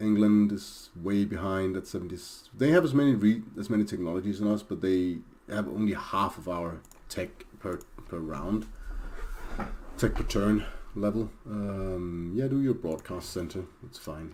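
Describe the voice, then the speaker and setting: A man with a Danish accent, fairly low and dark, mellow in tone, at a fairly slow pace with long, frequent pauses and big swings in loudness. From Denmark. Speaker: video game streamer. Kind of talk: gameplay commentary. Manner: hesitant, many fillers.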